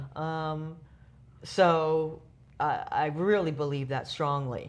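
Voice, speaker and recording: Very deep and low, a woman's voice moves at a very slow pace with fairly even intonation. Audible room echo surrounds it. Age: 60s. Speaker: club communications director. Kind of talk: interview. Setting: user conference.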